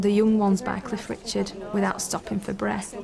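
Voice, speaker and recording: Amid noticeable background noise and audible room echo, a woman with a Lancashire accent talks at a moderate pace and a medium pitch. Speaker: bank worker, talent show contestant. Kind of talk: interview segment.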